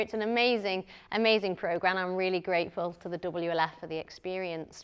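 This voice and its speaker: A woman speaks with a northern English accent. Her voice sits at a medium pitch with ordinary pitch variation. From northern England, Lancashire. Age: 20s. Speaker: psychotherapist and missionary. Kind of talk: conference talk. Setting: conference session with audience.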